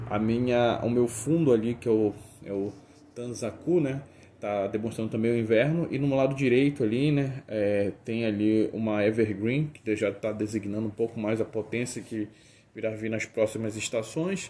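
A man at a moderate pace and medium pitch. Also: fairly even intonation. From Brazil, Belém do Pará. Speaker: bonsai hobbyist. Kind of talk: show-and-tell presentation. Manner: hesitant, many fillers.

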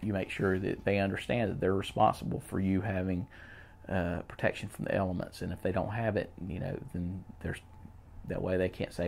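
A man speaks at a fairly quick pace in a very deep, low voice. Light background noise can be heard. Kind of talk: casual advice talk to camera.

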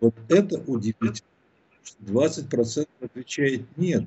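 Against a quiet background, a man speaks in a somewhat breathy voice with ordinary pitch variation. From Russia. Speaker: philosopher and sociologist; guest commentator. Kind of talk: political interview. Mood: calm analytical. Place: home room. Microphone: bad connection; video call.

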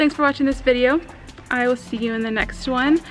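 A woman's high voice moves with ordinary pitch variation, and noticeable background noise can be heard behind her. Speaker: travel vlogger. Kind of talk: casual vlog chat. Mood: cheerful, relaxed. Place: open country. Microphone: phone near.

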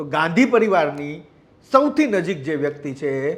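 A man's voice with lively intonation. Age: 40s. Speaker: news journalist. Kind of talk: news commentary report.

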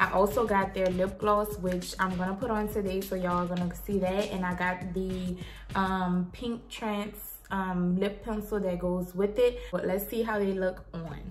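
A woman speaks at a moderate pace in a flat monotone, with music playing in the background. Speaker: beauty vlogger. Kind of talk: product review. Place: home room. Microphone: phone near.

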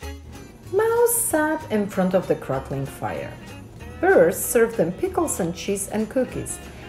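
A passage is read aloud in a natural voice.

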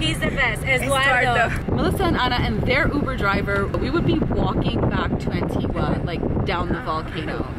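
A woman at a moderate pace, with crowd noise in the background. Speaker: travel vlog host. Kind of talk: casual vlog chat. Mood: cheerful, laughing. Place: car. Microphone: phone near.

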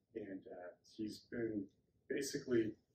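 With an American accent, a man talks in a fairly low, somewhat breathy voice over light background noise. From Wisconsin. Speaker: workshop organizer; speaker. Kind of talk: presentation. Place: meeting room. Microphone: camera far.

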